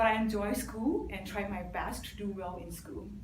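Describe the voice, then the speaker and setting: A woman's voice carries audible room echo, with clear background noise present as well. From Burma (Karen village), then refugee camp in Thailand. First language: Burmese (Karen is mother tongue). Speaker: club member giving speech. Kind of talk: prepared speech. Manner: some hesitations.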